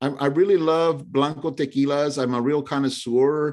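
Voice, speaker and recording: Speaking with an American accent, this man has a medium pitch and ordinary pitch variation. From San Francisco, US. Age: 60s. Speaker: actor and playwright. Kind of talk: casual chat.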